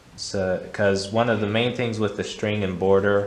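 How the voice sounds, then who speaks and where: A man's fairly low-pitched voice at a moderate pace, with audible room echo. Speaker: art instructor. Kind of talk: tutorial. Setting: art gallery. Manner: stuttering; halting.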